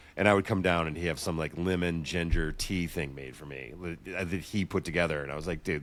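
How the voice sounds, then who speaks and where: A man's very deep, low voice with vocal fry, delivered at a very fast pace. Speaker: sports podcast co-host. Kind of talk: casual chat. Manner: fast, filler-heavy.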